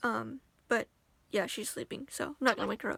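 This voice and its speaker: Fairly quick and high-pitched, a woman's voice comes through in a very clean recording with a silent background, dry and close with no echo. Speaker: vlogger. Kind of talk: casual chat. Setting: sitting on bed at home.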